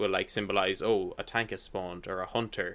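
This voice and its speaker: With an Irish accent, a man speaks at a fairly quick pace in a fairly low pitch. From Ireland. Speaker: gaming website guest. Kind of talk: casual chat.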